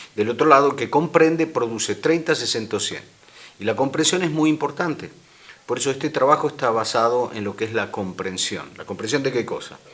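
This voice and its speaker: A fairly high-pitched man with an Argentine accent, fairly quick pace and ordinary pitch variation. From Argentina. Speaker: minister on deliverance and healing. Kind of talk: interview on a religious program. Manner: hesitant, with fillers and repeats.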